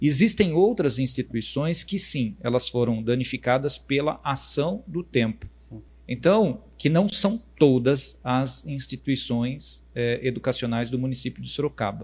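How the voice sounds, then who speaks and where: Somewhat breathy, a man's voice proceeds at a fairly slow speed. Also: medium pitch for a man. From Brazil, Votorantim, São Paulo state. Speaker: municipal education secretary, former teacher. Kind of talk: interview on a live stream. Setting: live stream. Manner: halting, many fillers.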